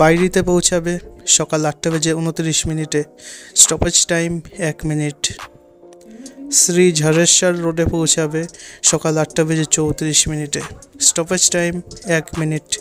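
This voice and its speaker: Against music in the background, a man speaks in a monotone, flat intonation. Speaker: timetable narrator. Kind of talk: voice-over reading a timetable.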